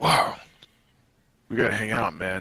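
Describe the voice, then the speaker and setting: This is a put-on character voice from a man. It sounds raspy. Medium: actual play. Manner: laid-back, bro-ish.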